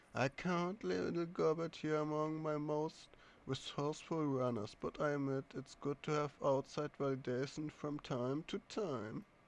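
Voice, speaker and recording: A man's nasal, put-on character voice, fairly high in pitch, at a moderate pace with ordinary pitch variation and hardly any pauses. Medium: actual play. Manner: sweet, nasal, grinding, menacing.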